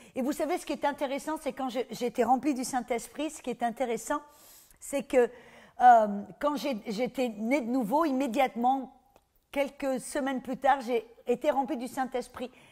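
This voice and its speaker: A woman's high-pitched voice with a dark, mellow tone, a fairly slow pace and big swings in loudness, on a very clean recording with a silent background. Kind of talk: sermon. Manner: animated.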